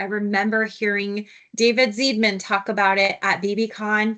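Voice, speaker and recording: With an American accent, a woman talks at a moderate pace in a fairly high pitch and a bright, sharp tone. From United States. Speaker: software consultant. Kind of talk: webinar tutorial.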